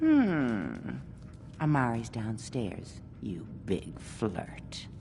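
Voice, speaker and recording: A put-on character voice, pitched low, speaks at a very slow pace over clear background noise. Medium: video game. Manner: teasing.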